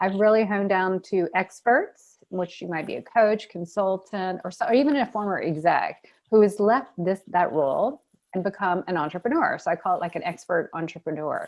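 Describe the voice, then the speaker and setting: A woman at medium pitch, with a slight Southern US accent. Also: lively intonation, moderate pace. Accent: American with a slight Southern touch. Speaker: personal brand strategist. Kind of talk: panel discussion. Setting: video call.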